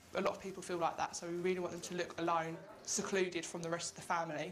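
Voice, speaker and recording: A woman talks very fast with an Essex accent. Her pitch sits at a medium level. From England, Essex. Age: young. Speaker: abuse survivor, youth campaigner. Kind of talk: news interview.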